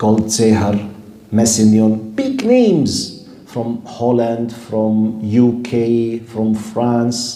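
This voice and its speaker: A man in an Arabic accent, medium-pitched and very slow, with audible room echo and noticeable background noise. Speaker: Islamic scholar and lecturer. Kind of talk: lecture. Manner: animated.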